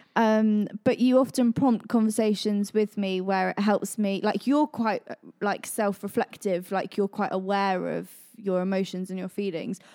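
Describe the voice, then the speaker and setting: Speaking in a West Country accent, a woman with a dark, mellow tone and a medium pitch keeps a moderate pace and fairly even intonation, in a dry, close sound with no echo. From Devon, England. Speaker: church team member, parent. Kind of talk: casual chat.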